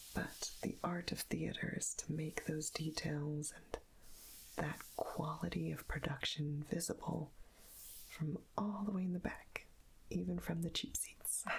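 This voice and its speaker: A woman whispers at a fairly slow pace in a soothing tone. Her loudness stays very even throughout. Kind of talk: ASMR soft-spoken magazine page turning. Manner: soft-spoken, soothing.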